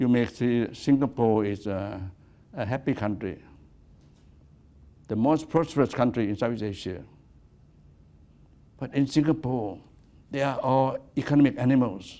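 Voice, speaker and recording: A man's medium-pitched voice with a Thai accent, dark and mellow in tone, at a moderate pace with long, frequent pauses. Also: ordinary pitch variation. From Thailand. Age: 80s+. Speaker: activist. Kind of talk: lecture. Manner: halting.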